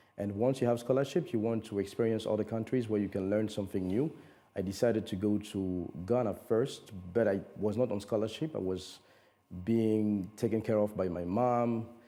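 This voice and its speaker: There is music in the background as a man speaks fairly quickly, fairly low in pitch, with fairly even intonation. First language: French. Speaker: conference interpreter and voiceover coach. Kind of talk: TV interview. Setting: TV studio.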